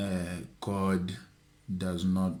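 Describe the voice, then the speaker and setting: A man speaks loudly. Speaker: YouTuber. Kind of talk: storytelling vlog. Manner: energetic.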